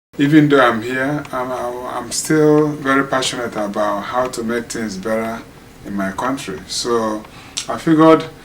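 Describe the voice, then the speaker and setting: Noticeable background noise and audible room echo around a man at a medium pitch, speaking at a fairly slow pace with ordinary pitch variation. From Nigeria. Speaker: community leader and writer. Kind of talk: documentary interview. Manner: halting.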